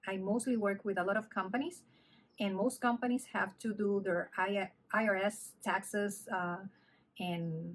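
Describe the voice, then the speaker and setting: In a Spanish accent, a woman speaks at a fairly slow pace with fairly even intonation and a medium pitch. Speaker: knitting vlogger. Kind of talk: casual vlog chat. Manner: halting, with fillers.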